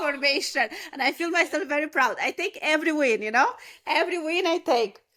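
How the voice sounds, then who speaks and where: Using a raised, projected voice, a woman talks at a very fast pace with a high pitch, lively intonation, and a bright, sharp tone. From Moldova. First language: Romanian and Russian. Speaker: podcast co-host. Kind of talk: casual chat.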